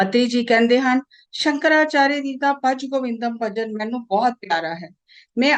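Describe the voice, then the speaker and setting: This is a woman speaking. Her pitch is high. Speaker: translator and voice-over narrator of a spiritual discourse.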